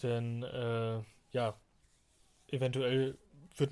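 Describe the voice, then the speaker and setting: The intonation stays monotone and flat. It belongs to a man. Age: 20s. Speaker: podcast host. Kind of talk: solo podcast monologue. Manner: hesitant, many fillers.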